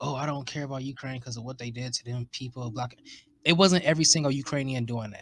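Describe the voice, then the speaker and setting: A man talks at a very fast pace, somewhat breathy, with fairly even intonation. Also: medium pitch for a man. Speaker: podcast host. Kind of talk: casual chat.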